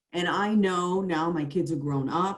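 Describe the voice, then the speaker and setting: A woman's voice, fairly low in pitch, with fairly even intonation. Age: 60s. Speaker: college marketing director, former TV journalist. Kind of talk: panel discussion. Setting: video call. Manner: halting.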